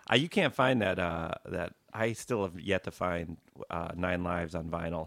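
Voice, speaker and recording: With an American accent, a man talks at a moderate pace in a very deep, low pitch with ordinary pitch variation. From Wisconsin. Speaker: rock guitarist. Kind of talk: casual interview chat.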